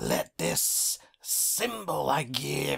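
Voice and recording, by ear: Putting on a character voice, a man speaks very slowly and raspily.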